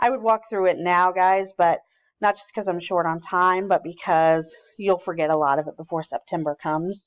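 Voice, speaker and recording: A woman with an ordinary speaking voice, fairly low pitch, fairly even intonation and a fairly quick pace, in a dry, close sound with no echo and a quiet background. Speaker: teacher trainer. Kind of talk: recorded training presentation.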